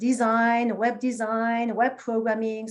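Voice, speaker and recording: A woman is speaking. She has a French accent. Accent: French accent, still noticeable. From France, small town. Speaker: marketing executive. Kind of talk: interview conversation.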